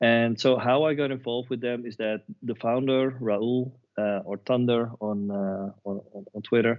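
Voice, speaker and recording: A man with a non-native accent, medium pitch, fairly even intonation and a fairly slow pace. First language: not English. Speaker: web3 agency professional. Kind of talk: podcast interview. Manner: halting, many repeated words.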